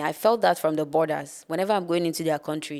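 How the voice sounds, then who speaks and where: A woman's fairly low, fairly quick voice in a Nigerian accent, on a very clean recording with a silent background. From northern Nigeria. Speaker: spoken word poet. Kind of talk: podcast interview.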